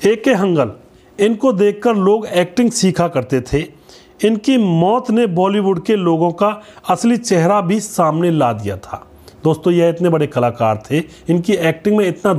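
At a fairly slow pace, a man with a high pitch moves through very wide pitch swings. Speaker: channel host. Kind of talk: narrated biography. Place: studio. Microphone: lapel.

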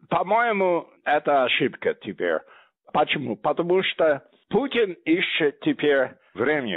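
A man's fairly high voice in an English accent, very slow, with lively intonation and very even loudness. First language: English (speaking Russian). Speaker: historian, think tank head. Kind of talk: interview.

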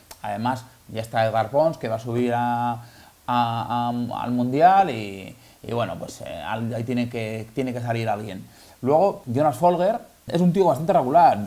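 A man with a dark, mellow tone talks at a moderate pace. He leaves few pauses. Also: medium pitch for a man, ordinary pitch variation.

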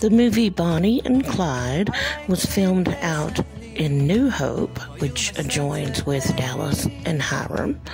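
Clear music plays in the background as the speaker goes at a very slow pace. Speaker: narrator. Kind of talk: casual vlog chat. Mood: warm, nostalgic. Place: car. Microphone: phone near.

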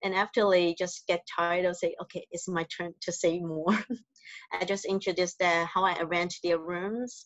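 Against a quiet background, a woman with a fairly low pitch speaks at a moderate pace in a monotone, flat intonation, with a dry sound and no echo. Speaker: hotel front office manager. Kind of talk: interview. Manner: soft-spoken; halting. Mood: soft-spoken, warm. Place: home room. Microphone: video call.

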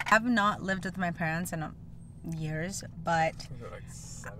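A woman at a fairly low pitch, dry with no echo, over light background noise. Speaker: vlogger. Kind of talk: casual vlog chat. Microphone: phone near.

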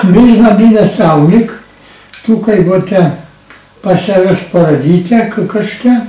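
His pitch is high for a man, with ordinary variation. The room echo is audible. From Slovenia, Šentvid near Ljubljana; Slovenia. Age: 90s. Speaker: war witness; witness. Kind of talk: oral history testimony. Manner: lively. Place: home room.

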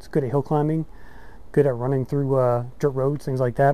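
A man's dark, mellow voice comes through as a dry sound with no echo. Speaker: ebike reviewer. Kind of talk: product review talk. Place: street.

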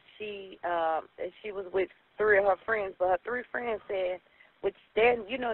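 The sound is dry, with no echo. The pace is fairly slow. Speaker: mother reporting missing daughter. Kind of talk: emergency phone call. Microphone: phone line.

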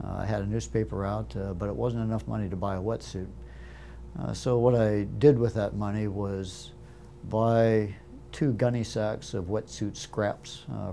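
Music plays in the background as a man with a fairly low pitch speaks at a moderate pace with ordinary pitch variation. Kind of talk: interview answer. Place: studio. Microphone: lapel.

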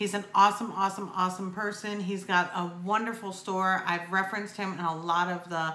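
Room echo is audible as a woman speaks at a moderate pace. Her intonation is monotone and flat. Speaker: vape reviewer vlogger. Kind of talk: casual vlog chat. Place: home room.

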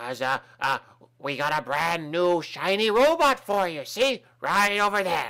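The voice sits at a middle pitch. The pace is fairly slow. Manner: breezy, nonchalant.

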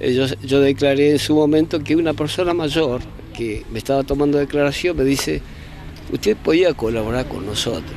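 In an Argentine accent, a man with a fairly high voice and ordinary pitch variation speaks over light background noise, the sound dry with no echo. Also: moderate pace. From Argentina, Bariloche. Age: 60s. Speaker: former political detainee. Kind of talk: testimony. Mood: earnest, emotional testimony. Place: open country. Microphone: handheld.

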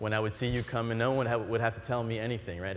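The speaker has an animated tone. The pace is very fast. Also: man. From Florida. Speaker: entrepreneur; keynote speaker. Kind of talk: keynote speech. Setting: stage with audience. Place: stage. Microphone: lapel.

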